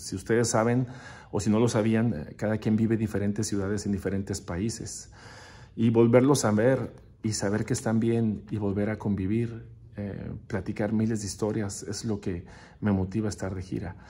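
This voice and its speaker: Using fairly even intonation at a moderate pace, a man speaks with a fairly low pitch and a dark, mellow tone. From northern Mexico, Ciudad Juárez (border with El Paso); northern Mexico. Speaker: percussionist; interviewee. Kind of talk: recorded video interview answering questions. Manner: hesitant, with fillers. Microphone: phone near.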